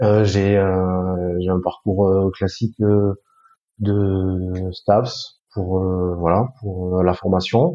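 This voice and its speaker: Very slowly and in a flat monotone, a man speaks with a very deep, low pitch. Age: 40s. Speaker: sports equipment business director. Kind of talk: podcast interview. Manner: hesitant, many fillers.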